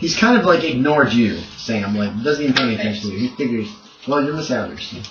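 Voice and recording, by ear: Over audible room echo, a man talks fast at medium pitch, his intonation lively and his tone fairly bright.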